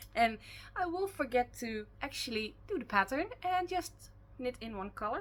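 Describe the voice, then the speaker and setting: A woman's high voice in a Dutch accent, with very wide pitch swings. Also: moderate pace. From Netherlands. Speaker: knitting podcaster. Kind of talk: casual podcast chat. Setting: at home. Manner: loud; hesitant, many fillers.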